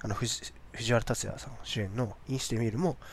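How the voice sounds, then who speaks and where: Lively intonation in a somewhat breathy male voice. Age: 30s. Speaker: podcast host. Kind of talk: casual solo talk.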